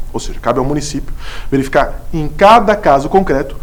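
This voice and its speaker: There is audible room echo and noticeable background noise as a man speaks with lively intonation. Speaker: law lecturer, city attorney. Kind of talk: lecture. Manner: fast; stumbles over words.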